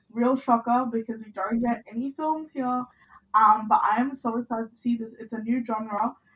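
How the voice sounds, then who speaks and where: This woman has a high pitch. She talks at a moderate pace. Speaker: podcast co-host. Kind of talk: casual chat.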